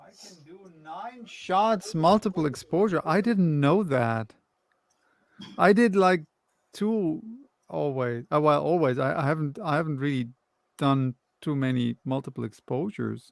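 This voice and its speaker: In a dry, close recording with no echo, a man with a fairly high pitch talks at a fairly slow pace with lively intonation, big swings in loudness and long, frequent pauses. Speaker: podcast co-host. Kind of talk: casual chat. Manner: loud and talkative.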